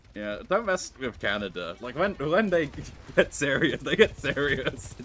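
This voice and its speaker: This man's voice sits at a fairly high pitch. He talks at a fairly slow pace with very wide pitch swings. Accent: British. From Britain. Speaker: VTuber streamer. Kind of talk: casual chat.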